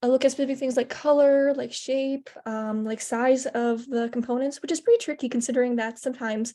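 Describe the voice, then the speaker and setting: The delivery is fairly quick, with hardly any pauses. The tone is dark and mellow, the intonation monotone and flat. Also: woman, high pitch for a woman. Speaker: hackathon participant. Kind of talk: project presentation. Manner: stuttering, halting; casual, many fillers.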